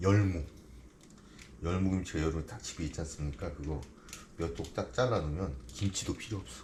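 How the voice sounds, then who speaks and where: A man speaks at a moderate pace in a very deep, low voice with vocal fry and lively intonation. His speech has long, frequent pauses. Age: 50s. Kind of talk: casual cooking commentary.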